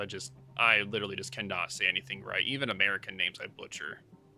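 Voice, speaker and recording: A man delivers his words at a fairly quick pace while music sounds in the background. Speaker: esports caster. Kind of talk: live commentary. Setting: livestream.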